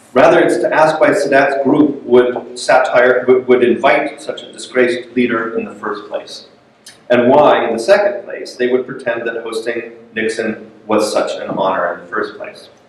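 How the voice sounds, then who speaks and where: Big swings in loudness from a man at medium pitch, ordinary pitch variation and moderate pace, with noticeable background noise. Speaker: literature professor. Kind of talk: lecture. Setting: lecture room with audience. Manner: hesitant, many fillers.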